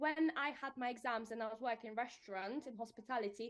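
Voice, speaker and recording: Speaking with a Polish accent, a woman talks at a fairly quick pace in a fairly high pitch. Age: 20s. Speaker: protection adviser. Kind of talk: casual interview. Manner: animated.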